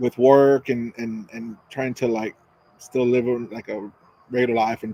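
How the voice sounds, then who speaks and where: In a dry, close recording with no echo, a man mumbles with flat, monotone intonation. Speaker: cigar reviewer and podcast co-host. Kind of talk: casual chat. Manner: mumbling.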